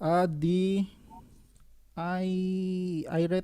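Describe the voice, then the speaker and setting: This woman's voice has a dark, mellow tone. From Japan. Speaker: student. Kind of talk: asking a question. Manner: halting, many fillers.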